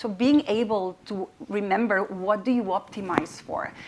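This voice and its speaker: A woman with a non-native accent and ordinary pitch variation. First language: not English. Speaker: panelist, AI auditing expert. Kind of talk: panel discussion. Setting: stage with audience. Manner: halting, many fillers and repetitions.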